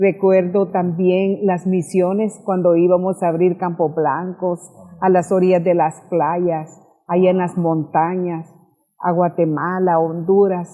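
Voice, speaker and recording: This woman's fairly low voice moves at a very slow pace, with monotone, flat intonation and very even loudness. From El Salvador, San Salvador. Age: 60s. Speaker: pastor. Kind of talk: testimony.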